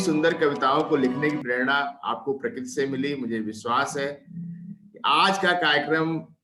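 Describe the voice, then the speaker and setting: Lively intonation from a man with a fairly high pitch, music in the background. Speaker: talk show host. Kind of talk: program introduction.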